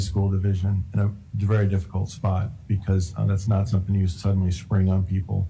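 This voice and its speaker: Over light background noise, a man with a fairly low pitch speaks at a moderate pace in a monotone, flat intonation. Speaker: school superintendent. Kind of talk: public meeting. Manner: halting. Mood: measured, slightly frustrated. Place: meeting room. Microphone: podium.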